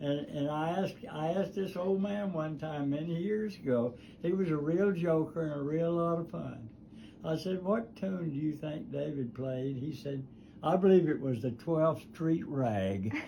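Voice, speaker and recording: A man speaks with a Southern US accent, fairly high in pitch, with a dark, mellow tone. His pitch varies in an ordinary way. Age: 80s+. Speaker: guitar builder; war veteran. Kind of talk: casual conversation in workshop. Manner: slow, rambling storytelling.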